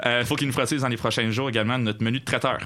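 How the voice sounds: A man talks at a very fast pace and medium pitch. His tone is bright and sharp, with fairly even intonation.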